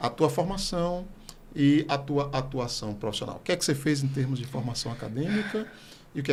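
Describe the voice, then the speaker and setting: The voice is somewhat breathy, with lively intonation and a fairly quick pace. Audible room echo surrounds it. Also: man. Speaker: podcast host and psychology professor. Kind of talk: interview podcast.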